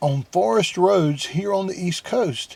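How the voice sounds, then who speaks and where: Noticeable background noise sits behind a man with a Southern US accent. His high pitch carries lively intonation. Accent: southern US drawl. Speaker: van-life vlogger. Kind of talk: vlog intro to camera.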